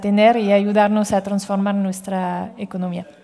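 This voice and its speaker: Flat and monotone, the speech comes in a French accent against noticeable background noise. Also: woman. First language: French (speaking Spanish). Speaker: impact investment fund manager. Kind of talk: panel discussion. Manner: halting, many fillers and repetitions.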